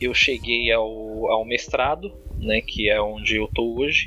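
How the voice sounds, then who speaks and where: A man speaks fairly slowly while music plays behind him. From Brazil, São Paulo (Diadema, ABC Paulista). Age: 30s. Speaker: online influencer and law graduate student. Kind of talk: casual interview chat.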